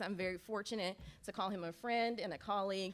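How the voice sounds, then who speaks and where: A woman talks at a fairly quick pace in a medium pitch, with an energetic tone and ordinary pitch variation. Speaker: athletics administrator, emcee. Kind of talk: ceremony speech. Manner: loud, energetic.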